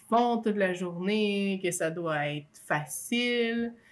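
The speaker has a Quebec accent. The recording is very clean, with a silent background. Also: woman. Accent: Québécois French. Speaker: stay-at-home mother. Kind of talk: testimony.

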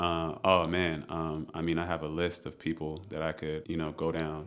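The voice has an American accent. Its intonation is flat and monotone. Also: man. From Maryland, US. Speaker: chef and restaurant owner. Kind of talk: podcast interview. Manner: casual.

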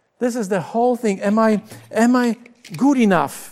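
Someone speaks with a Polish accent at a fairly slow pace. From Poland. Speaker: pastor. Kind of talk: sermon. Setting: recorded for video broadcast.

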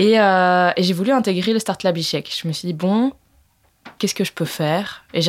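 On a very clean recording with a silent background, a woman with an ordinary speaking voice speaks at a moderate pace with ordinary pitch variation. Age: 20s. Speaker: entrepreneur. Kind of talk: interview.

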